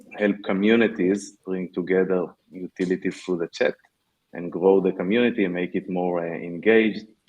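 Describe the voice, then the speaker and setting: This man's pitch is very deep and low. He keeps to a moderate pace. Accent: Israeli. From Israel. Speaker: tech startup founder. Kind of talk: panel discussion. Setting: virtual meetup.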